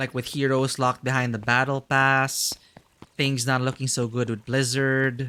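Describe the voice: The clip is plain reading aloud. Nothing more stands out in the delivery.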